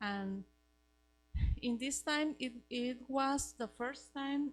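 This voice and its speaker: A woman with a Costa Rican accent speaks at a very slow pace with ordinary pitch variation. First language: Spanish. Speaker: missionary. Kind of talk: testimony. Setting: church Sunday school class. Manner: halting, searching for words.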